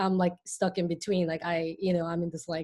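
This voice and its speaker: A woman speaking at a very fast pace in a Korean accent. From Hong Kong, born in South Korea. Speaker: artist. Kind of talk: casual chat. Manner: halting, many fillers.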